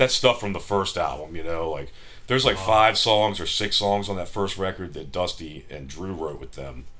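In an American accent, a man with a very deep, low pitch and a bright, sharp tone speaks at a moderate pace with lively intonation, vocal fry, big swings in loudness and audible room echo. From US, Maryland (Frederick). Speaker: musician. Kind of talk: casual chat. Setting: hotel room.

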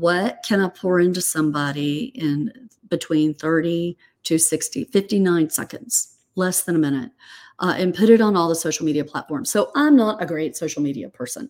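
The recording is very clean with a silent background, capturing a woman with a plain, everyday voice who talks at a moderate pace in a fairly low pitch. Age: 50s. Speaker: real estate investor and author. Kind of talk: casual interview.

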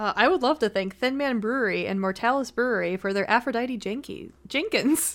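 With an American accent and a plain, everyday voice, a woman speaks at a moderate pace in a fairly high pitch, with ordinary pitch variation and hardly any pauses. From Buffalo, New York. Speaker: beer sales rep and streamer. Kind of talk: casual chat.

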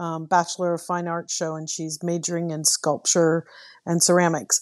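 A woman speaks against a quiet background. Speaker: book club guest. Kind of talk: casual book discussion.

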